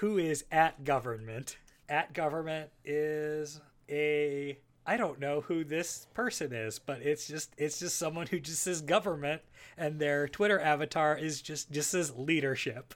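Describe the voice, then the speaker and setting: Animated in tone, a man talks fairly slowly at a fairly high pitch with ordinary pitch variation in a very clean recording with a silent background. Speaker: podcast co-host. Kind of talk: casual banter. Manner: animated, joking.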